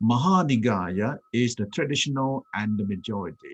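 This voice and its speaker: A man speaks with a Thai accent at a medium pitch. His moderate pace comes through in a dry, close sound with no echo. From Thailand. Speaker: Buddhist monk. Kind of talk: talk with slides.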